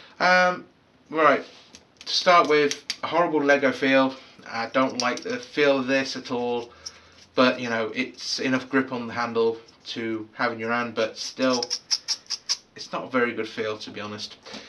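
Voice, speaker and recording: A man speaks at a medium pitch and a moderate pace, with ordinary pitch variation and big swings in loudness. There is noticeable background noise, and his pauses are long and frequent. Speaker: product reviewer. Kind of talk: casual video review. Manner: hesitant, many fillers.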